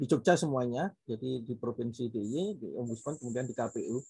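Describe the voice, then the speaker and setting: At a medium pitch, a man with a dark, mellow, somewhat breathy tone speaks with ordinary pitch variation over a quiet background. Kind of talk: panel talk. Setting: video call. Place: home room. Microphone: video call.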